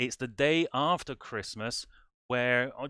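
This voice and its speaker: A man with an English accent speaks at medium pitch with ordinary pitch variation and a bright, sharp tone. The sound is dry and close with no echo, on a very clean recording with a silent background. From England. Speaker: music society director and band conductor. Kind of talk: livestream introduction. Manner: animated.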